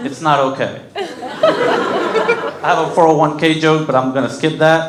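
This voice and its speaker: Fairly slow speech with audible room echo and noticeable background noise. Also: man. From Mexico, raised in Kentucky and North Carolina from age 7. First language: Spanish. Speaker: comedian. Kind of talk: stand-up. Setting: stage with audience.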